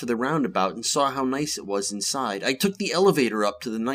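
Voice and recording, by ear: A text read aloud in a natural voice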